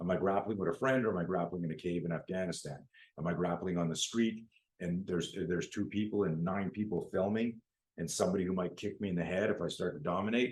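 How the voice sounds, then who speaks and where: A man with a Canadian accent talks at a very fast pace in a very deep, low pitch. The intonation is fairly even. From Canada. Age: 60s. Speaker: self-defense instructor. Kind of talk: interview.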